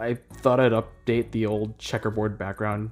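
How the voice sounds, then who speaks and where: A man talks at a moderate pace over background music. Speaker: animator and YouTuber. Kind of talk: scripted channel update talk to camera.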